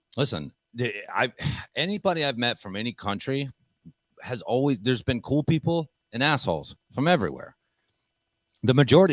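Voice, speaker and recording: With an American accent and vocal fry, a man of medium pitch talks at a fairly quick pace with lively intonation and long, frequent pauses, in a dry, close sound with no echo. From United States. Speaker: podcast host. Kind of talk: casual chat. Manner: loud; brash.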